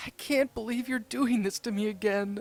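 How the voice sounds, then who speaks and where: A female-sounding put-on character voice, fairly high in pitch, at a moderate pace. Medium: read story.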